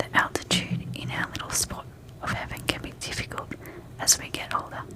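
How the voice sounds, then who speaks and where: A whispering voice comes through over noticeable background noise. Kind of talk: sleep story. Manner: soft-spoken; calm, slow-paced.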